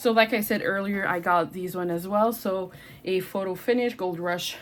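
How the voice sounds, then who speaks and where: A woman with a Quebec accent, medium in pitch, with ordinary pitch variation and a moderate pace. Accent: French-Canadian accent in English. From Quebec, Canada. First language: French. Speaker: booktuber. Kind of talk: casual chat. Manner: animated.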